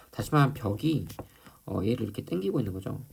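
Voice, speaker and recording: Lively intonation marks this man's medium-pitched voice, heard with audible room echo and noticeable background noise. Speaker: high school physics teacher. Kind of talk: lecture. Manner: hesitant, many fillers.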